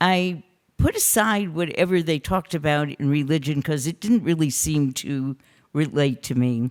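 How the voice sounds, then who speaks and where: This speaker has an American accent. The pace is fairly slow. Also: woman. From US Midwest, Detroit. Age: 70s. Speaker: photographer and film festival founder. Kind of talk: personal talk at a panel.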